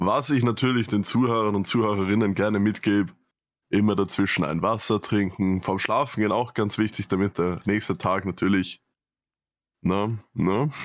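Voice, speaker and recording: At a moderate pace, a man with a normal speaking voice and a fairly low pitch talks with fairly even intonation and very even loudness on a very clean recording with a silent background. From Vienna, Austria. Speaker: podcast co-host. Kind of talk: casual chat.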